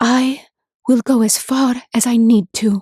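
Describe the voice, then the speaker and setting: Putting on a character voice, a woman speaks high-pitched and fairly slowly. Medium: read story. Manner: earnest, determined.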